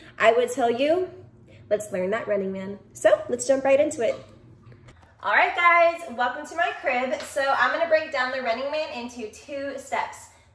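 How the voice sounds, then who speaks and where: Someone with an American accent speaks at a moderate pace with lively intonation and big swings in loudness, and room echo is audible. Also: woman, high pitch for a woman. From Texas. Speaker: dance instructor. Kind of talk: tutorial. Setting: at home. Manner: animated.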